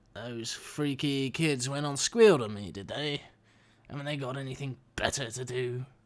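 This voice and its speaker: A put-on character voice, pitched low-to-middle, moves along at a moderate pace. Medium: audio drama. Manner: sneering, crude.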